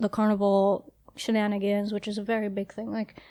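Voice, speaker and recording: A woman with a New York accent talks at a moderate pace in a medium pitch and a dark, mellow tone. The recording is very clean, with a silent background. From Trinidad, then Brooklyn New York from childhood. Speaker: podcast co-host. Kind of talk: casual chat.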